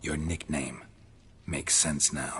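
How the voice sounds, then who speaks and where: A man's put-on character voice, very deep and low, over clear background noise. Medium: video game. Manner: terse, deadpan.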